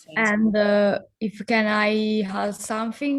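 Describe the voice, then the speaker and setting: With an Italian accent, a woman talks at a fairly high pitch. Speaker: association founder, activist. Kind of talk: online panel discussion. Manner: halting.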